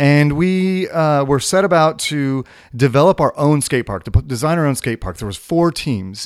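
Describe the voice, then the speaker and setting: A man speaks in an ordinary speaking voice with an American accent, lively intonation and a moderate pace. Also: fairly high pitch for a man. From California. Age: 40s. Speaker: skate shop owner. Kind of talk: interview. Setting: studio.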